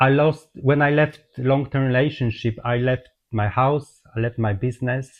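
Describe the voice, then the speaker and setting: Against a quiet background, a man with a Polish accent speaks at medium pitch, somewhat breathy, with ordinary pitch variation. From Poland. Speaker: holistic therapist. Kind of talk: personal testimony. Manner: halting.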